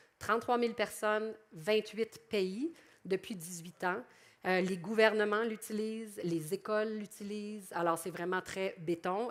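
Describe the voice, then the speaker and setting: A woman's medium-pitched voice, fairly slow, with ordinary pitch variation. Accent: Quebec. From Quebec. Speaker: public relations professional. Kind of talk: conference presentation. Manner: animated.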